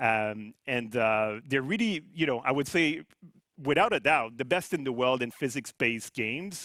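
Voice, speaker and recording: A man's medium-pitched voice with a bright, sharp tone, lively intonation, a moderate pace and a French-Canadian accent. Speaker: company CEO. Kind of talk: corporate presentation.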